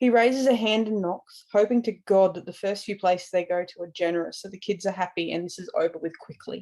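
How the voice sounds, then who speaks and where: Speaking with an Australian accent, a woman has a medium-pitched voice with a dark, mellow tone and lively intonation. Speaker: podfic reader. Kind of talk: reading aloud; casual intro.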